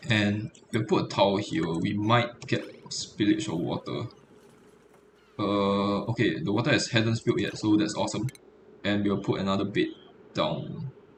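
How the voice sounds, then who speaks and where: A man with a fairly low, somewhat breathy voice speaks with lively intonation and long, frequent pauses. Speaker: game streamer. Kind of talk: gameplay commentary. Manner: fast; hesitant, many fillers.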